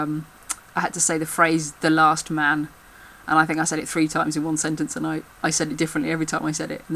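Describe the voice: This speaker talks at a very fast pace with a Birmingham accent.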